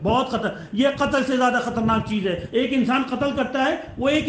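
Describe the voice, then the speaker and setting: A man talks against noticeable background noise. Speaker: Islamic preacher delivering a Friday sermon. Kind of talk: religious sermon.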